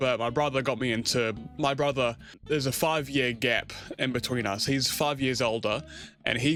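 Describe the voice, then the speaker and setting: With a New Zealand accent, a man speaks at a moderate pace and medium pitch, with ordinary pitch variation. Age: 20s. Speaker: gaming YouTuber. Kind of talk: casual channel introduction monologue. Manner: casual, hesitant with fillers.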